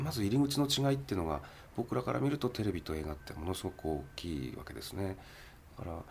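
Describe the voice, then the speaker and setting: A man speaks at a very fast pace with a very deep, low pitch and vocal fry. His pitch swings very widely. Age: 40s. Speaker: film producer. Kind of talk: interview.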